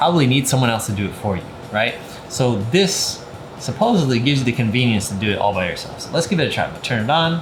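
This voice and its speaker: Music plays in the background as a man speaks with lively intonation. There is audible room echo. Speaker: product reviewer. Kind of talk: product review and demonstration. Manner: casual, filler-heavy.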